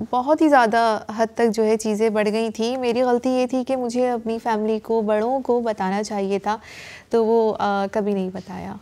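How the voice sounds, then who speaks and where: Her voice is fairly high for a woman, with a dark, mellow tone. She speaks at a fairly slow pace with fairly even intonation. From Pakistan. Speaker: acid attack survivor. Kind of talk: testimony; interview answer. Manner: halting. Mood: sombre, reflective. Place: studio.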